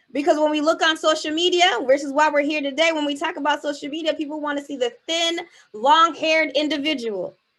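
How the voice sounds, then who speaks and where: A woman's high voice at a very fast pace. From US Northeast, Boston, Haitian American family. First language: Haitian Creole. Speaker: keynote speaker and spoken word artist. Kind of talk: motivational keynote speech. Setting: virtual event, video call. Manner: animated, rhetorical.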